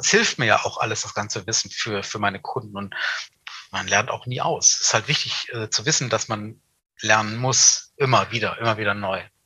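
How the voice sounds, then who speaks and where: In a plain, everyday voice, a man speaks at a medium pitch and moderate pace with fairly even intonation. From Hannover, northern Germany. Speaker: event industry veteran. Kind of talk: casual interview.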